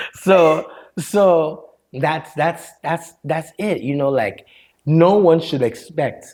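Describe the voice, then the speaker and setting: A man speaks with a slight Liberian accent. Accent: American English with Liberian touches. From Liberia, raised in Maryland, US. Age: 40s. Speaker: storyteller and mental health counselor. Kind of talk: podcast interview.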